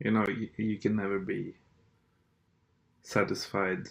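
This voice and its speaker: A man speaks with a Norwegian accent at a fairly slow pace. His fairly low voice stays monotone and flat. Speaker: political commentator. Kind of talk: monologue rant. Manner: hesitant, many fillers.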